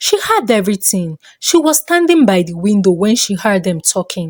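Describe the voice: Recorded with a dry, close sound and no echo, a woman speaks at medium pitch and a moderate pace, with big pitch swings.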